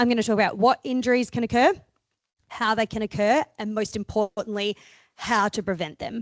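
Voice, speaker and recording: With an Australian accent, a woman talks at a fairly quick pace and fairly high pitch in a dry, close sound with no echo. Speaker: sports chiropractor. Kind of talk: presentation talk. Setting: talk to an audience with microphone. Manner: animated; loud.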